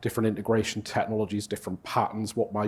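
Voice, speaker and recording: A man with a Geordie accent talks at a fairly quick pace. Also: very clean recording, silent background. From northern England, Newcastle. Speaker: conference speaker, cloud integration consultant. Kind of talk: conference talk. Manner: casual, filler-heavy.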